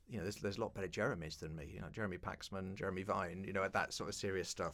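Speaking with a London accent, a man uses a fairly low pitch. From East London. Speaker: broadcaster and keynote speaker. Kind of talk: interview.

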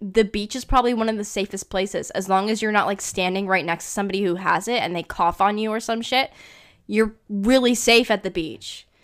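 A woman in a Canadian accent, a normal speaking voice, medium pitch, fairly even intonation, fairly quick pace, very clean recording with a silent background. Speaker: podcast co-host. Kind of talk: casual chat.

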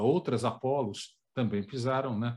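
A man speaks in a medium pitch, somewhat breathy. The recording is very clean, with a silent background. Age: 50s. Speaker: documentary director and journalist. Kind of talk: interview.

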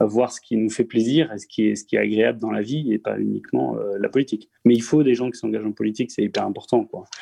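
A man at a fairly quick pace, dry and close with no echo, against a quiet background. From Strasbourg, Alsace. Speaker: local politician. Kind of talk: remote interview. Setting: internet call.

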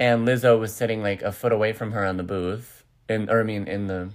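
The recording is very clean, its background silent. A man speaks fairly quickly, his pitch varying in an ordinary way. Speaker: podcast host. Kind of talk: casual chat. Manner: rambling with many fillers.

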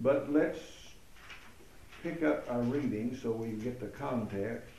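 Through audible room echo and noticeable background noise, a man speaks at a very slow pace and medium pitch, with ordinary pitch variation and long, frequent pauses. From United States. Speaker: pastor teaching Bible study. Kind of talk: Bible study lecture with consecutive interpretation.

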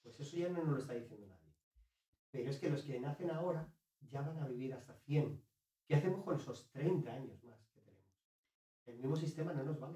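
The voice is dark and mellow and somewhat breathy, moving at a fairly quick pace with ordinary pitch variation, big swings in loudness, and long, frequent pauses. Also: man, fairly high pitch for a man. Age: 40s. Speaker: author and business consultant. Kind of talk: interview conversation. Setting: host's home.

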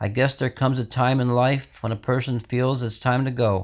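At a moderate pace, a man with a normal speaking voice at medium pitch is heard on a very clean recording with a silent background. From New York state, US. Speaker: poet reading his own poem. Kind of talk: poetry reading, rhymed, sorrowful, read aloud.

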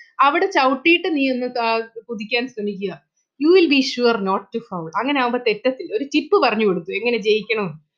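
A woman speaks in a high pitch, her voice making very wide pitch swings. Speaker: teacher. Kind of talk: lecture.

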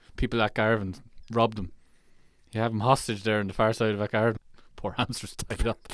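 In a very clean recording with a silent background, a man with a Kilkenny accent talks at a very fast pace in a fairly low, monotone, flat voice, with long, frequent pauses. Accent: Irish (Kilkenny area). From Ireland. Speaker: podcast co-host. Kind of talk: casual chat. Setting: studio.

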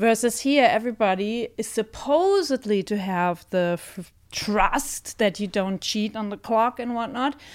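In a German accent, a woman speaks fairly slowly at a fairly high pitch with ordinary variation and hardly any pauses. The recording is very clean, with a silent background. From Germany. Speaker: theatre director and co-host. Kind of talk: casual chat.

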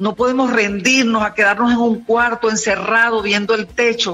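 Over noticeable background noise, a woman talks at a moderate pace with a fairly high pitch and fairly even intonation. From Venezuela. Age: 70s. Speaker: motivational speaker and author. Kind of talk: radio interview. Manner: hesitant with fillers.

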